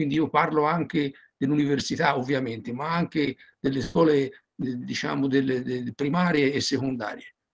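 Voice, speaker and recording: A plain, everyday voice from a man, fairly high-pitched for a man, with fairly even intonation, a moderate pace and a quiet background. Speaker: audience member asking questions; audience member. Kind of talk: Q&A question. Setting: video call. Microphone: video call.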